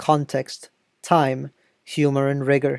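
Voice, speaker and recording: A woman speaks in a very deep, low voice with a dark, mellow tone. Her delivery is monotone and flat, recorded dry and close with no echo. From France. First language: French. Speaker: video essayist on political theory. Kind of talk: video essay narration. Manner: formal.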